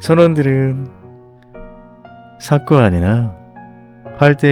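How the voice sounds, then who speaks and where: A man speaks at a very slow pace with lively intonation while music plays in the background. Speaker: audiobook narrator. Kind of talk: bedtime story audiobook reading. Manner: soft, calm, ASMR-style.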